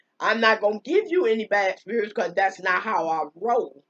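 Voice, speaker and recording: Her tone animated and her pitch variation ordinary, a woman speaks in a dry, close sound with no echo. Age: 60s. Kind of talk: religious monologue. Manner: halting.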